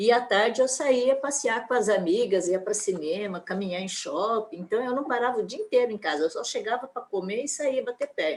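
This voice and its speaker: A woman's high-pitched voice with lively intonation, at a moderate pace. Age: 70s. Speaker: church event participant. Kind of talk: casual chat.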